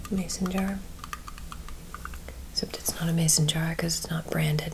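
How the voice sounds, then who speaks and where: A gentle tone, soft-spoken and at a fairly quick pace, over noticeable background noise. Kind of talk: ASMR chat to camera. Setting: close-mic ASMR home recording. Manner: soft-spoken, gentle.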